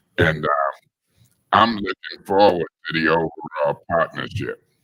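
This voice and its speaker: A man talks at a fairly slow pace. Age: 60s. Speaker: city council member. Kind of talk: council meeting debate.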